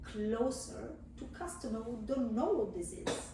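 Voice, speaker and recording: Audible room echo surrounds a voice with an Italian accent. The pace is fairly slow. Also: woman. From southern Italy. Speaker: cheese supplier, business owner. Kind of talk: casual interview.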